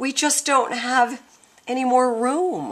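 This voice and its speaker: A woman speaks at a fairly slow pace in a put-on character voice, pitched high. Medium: read story.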